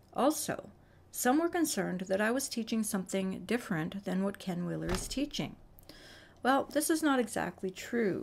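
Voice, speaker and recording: In a very clean recording with a silent background, a woman of medium pitch speaks at a moderate pace, somewhat breathy, with lively intonation. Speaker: science video creator. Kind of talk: explainer narration.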